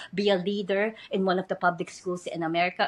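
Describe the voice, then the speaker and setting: A woman's medium-pitched voice is heard over a quiet background. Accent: Filipino. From Philippines. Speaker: educator and podcast host. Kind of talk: interview. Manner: hesitant with fillers.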